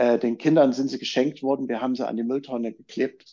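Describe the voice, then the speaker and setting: Against a quiet background, a man speaks at a fairly quick pace and a medium pitch. His tone is dark and mellow, with fairly even intonation. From East Germany. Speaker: journalist and documentary filmmaker. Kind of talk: casual chat.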